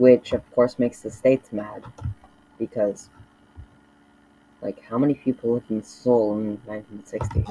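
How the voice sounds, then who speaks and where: A man speaks at a medium pitch and a moderate pace, his intonation fairly even. The sound is dry and close, with no echo. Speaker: mapping video creator. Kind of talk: casual commentary narration. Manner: halting, many fillers.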